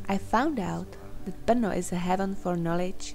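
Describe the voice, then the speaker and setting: With a Czech accent, a woman speaks at a moderate pace and medium pitch while music plays in the background. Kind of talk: personal digital story narration.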